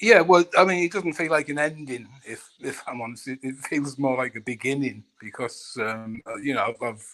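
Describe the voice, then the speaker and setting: A man speaks with a fairly high pitch and lively intonation. His pace is moderate, with hardly any pauses. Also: big swings in loudness. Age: 60s. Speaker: caller on a live stream discussion. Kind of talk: personal testimony. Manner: halting, repeats words.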